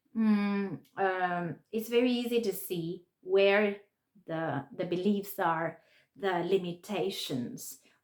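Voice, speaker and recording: A woman at a very slow pace, with a Spanish accent, medium pitch and lively intonation. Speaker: English teacher and spiritual speaker. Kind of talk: reflective monologue. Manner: halting, with fillers and restarts.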